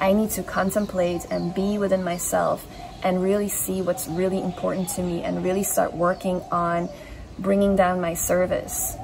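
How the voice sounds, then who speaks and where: Over noticeable background noise, a woman talks at a moderate pace in a monotone, flat intonation. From Belgium. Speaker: spiritual channeler. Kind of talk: channeled reading.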